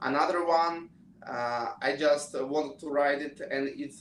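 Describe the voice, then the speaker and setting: In a Russian accent, a man talks at a fairly high pitch. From Russia, Moscow. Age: 20s. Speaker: pianist and student. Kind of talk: interview. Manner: halting.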